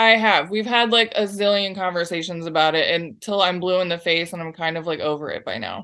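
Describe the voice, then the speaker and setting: With hardly any pauses, the speaker moves at a fairly quick pace in a bright, sharp tone with ordinary pitch variation. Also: woman, medium pitch for a woman. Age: 30s. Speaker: advice seeker. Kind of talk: casual chat.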